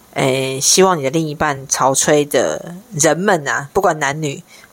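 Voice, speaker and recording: With an animated tone, a woman speaks at a fairly slow pace with a very deep, low pitch and ordinary pitch variation. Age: 50s. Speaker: podcast co-host, sex and relationship talk. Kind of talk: casual chat. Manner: animated, frequent laughter.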